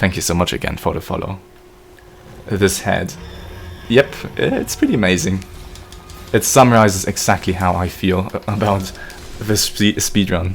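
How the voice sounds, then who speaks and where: A man with a German accent and a very deep, low pitch, ordinary pitch variation, a moderate pace and long, frequent pauses, over noticeable background noise. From German-speaking country. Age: 20s. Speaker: video game streamer. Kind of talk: live stream chat. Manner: casual.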